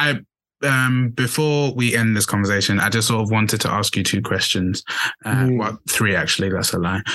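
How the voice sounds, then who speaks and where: This man has an unremarkable speaking voice, medium in pitch with ordinary variation, and he talks at a fairly quick pace. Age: 20s. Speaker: podcast host. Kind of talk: casual chat.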